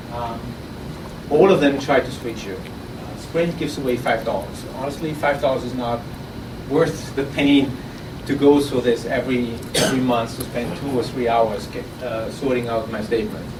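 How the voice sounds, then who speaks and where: With ordinary pitch movement and a moderate speed, the speech carries noticeable background noise and audible room echo. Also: man, medium pitch for a man. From Austria. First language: German. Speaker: startup founder. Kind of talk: pitch presentation. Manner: halting, with repeated words.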